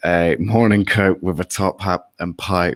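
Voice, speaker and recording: A man with an English accent has a very deep, low pitch. The recording is very clean, with a silent background and a dry, close sound with no echo. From England. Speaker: political commentary co-host. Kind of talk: live stream chat. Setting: live stream with chat.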